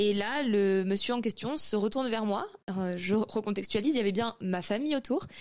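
In a normal speaking voice, a woman talks at a fairly quick pace, her fairly high pitch showing ordinary pitch variation. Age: 20s. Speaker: anonymous testimony contributor. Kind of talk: testimony.

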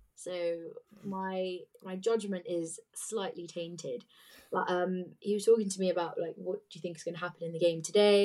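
Here a woman with a British accent speaks in a fairly low voice with a dark, mellow tone. Her pace is moderate and her intonation fairly even. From England, British Indian. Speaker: Tottenham fan, podcast panelist. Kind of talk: casual chat, football debate.

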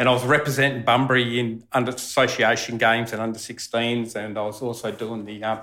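Fairly quick delivery in an Australian accent, monotone and flat, with hardly any pauses. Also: man, medium pitch for a man. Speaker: former cricketer. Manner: loud.

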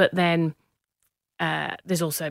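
A woman with an English accent speaks at a moderate pace in a fairly low pitch, recorded very cleanly with a silent background and a dry, close sound that has no echo. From northern England, Manchester/Cheshire. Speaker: business founder. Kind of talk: interview.

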